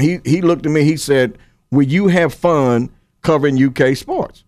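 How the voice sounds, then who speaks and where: Speaking with a Kentucky accent, a man uses a fairly high pitch. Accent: Kentucky Southern US. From Paris, Kentucky. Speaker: high school sports writer. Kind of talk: interview. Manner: halting, repeats words.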